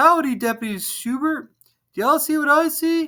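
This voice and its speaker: A man's put-on character voice, extremely high-pitched, at a moderate pace in a very clean recording with a silent background. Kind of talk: folksy.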